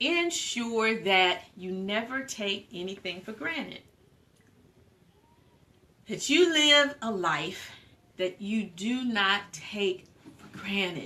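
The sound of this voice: A woman speaks at a slow pace with long, frequent pauses, her bright, sharp tone rising and falling in lively intonation. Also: medium pitch for a woman.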